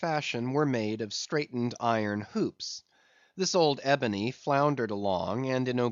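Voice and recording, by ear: Ordinary pitch variation in the course of reading aloud in a natural voice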